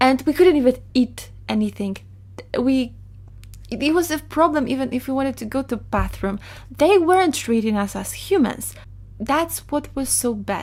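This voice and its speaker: Speaking in a Polish accent, a woman uses a high pitch and lively intonation. Her pace is moderate. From Poland. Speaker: digital artist, storyteller. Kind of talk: storytime monologue.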